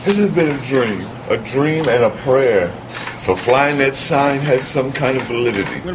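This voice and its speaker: Noticeable background noise sits behind a man's medium-pitched voice. His loudness stays very even, with ordinary pitch variation. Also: moderate pace. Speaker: radio voice talent. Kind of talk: interview answer.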